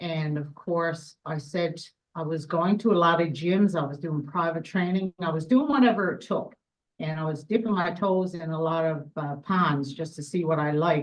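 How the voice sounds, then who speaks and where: Speaking at a moderate pace, a woman with a Newfoundland accent has a fairly low pitch. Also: ordinary pitch variation. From Newfoundland, west coast. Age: 50s. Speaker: world champion powerlifter. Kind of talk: interview.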